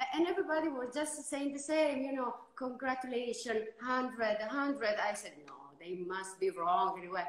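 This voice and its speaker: In an Italian accent, a woman with a high pitch talks at a moderate pace with lively intonation, and audible room echo surrounds her voice. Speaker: winemaker. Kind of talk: casual interview. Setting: instagram live video call. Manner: halting.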